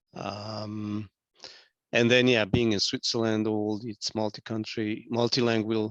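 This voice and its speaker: In a Hungarian accent, a man speaks fairly slowly at a fairly low pitch with monotone, flat intonation, the sound dry and close with no echo against a quiet background. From Hungary. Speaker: business owner. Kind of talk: casual chat.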